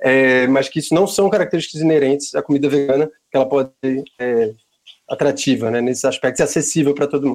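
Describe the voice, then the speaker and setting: This man's fairly high voice moves at a very fast pace with fairly even intonation. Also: very even loudness. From Pernambuco, northeastern Brazil. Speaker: vegan restaurant owner. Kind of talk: casual interview.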